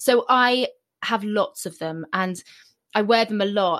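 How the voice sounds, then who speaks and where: A woman talks in a plain, everyday voice at a medium pitch with ordinary pitch variation. The background is quiet. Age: 40s. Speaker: author and former TV documentary presenter. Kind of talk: interview conversation. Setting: remote call from home.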